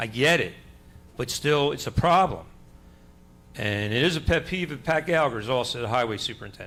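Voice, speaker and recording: In a room with audible echo, a man with an American accent speaks fairly quickly, his fairly high pitch showing ordinary variation and his tone bright and sharp. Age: 60s. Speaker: resident speaking at public comment. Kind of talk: public comment at council meeting. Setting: council meeting room. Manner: conversational, rambling storytelling.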